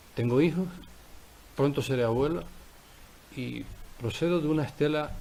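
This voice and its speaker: Audible room echo surrounds a man whose voice is fairly high, somewhat breathy and dark and mellow in tone. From Canary Islands, Tenerife (La Laguna). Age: 60s. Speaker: politician. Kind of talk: press conference statement. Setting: press conference room. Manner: formal.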